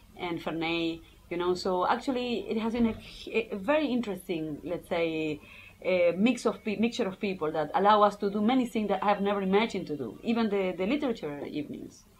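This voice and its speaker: A woman with a Spanish accent, lively intonation and a fairly quick pace. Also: medium pitch for a woman. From Argentina. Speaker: English teacher and PhD student. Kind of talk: casual interview. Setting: filmed interview. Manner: halting, many repetitions.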